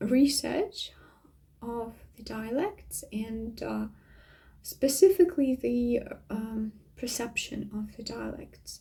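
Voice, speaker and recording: Loudness swings widely throughout this very slow delivery. The speaker has a Russian accent. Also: woman. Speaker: vlogger. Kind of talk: casual monologue. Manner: hesitant, many fillers.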